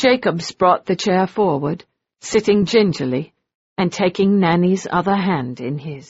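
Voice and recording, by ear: Reading aloud in a natural voice, the speaker shows ordinary pitch variation over a quiet background.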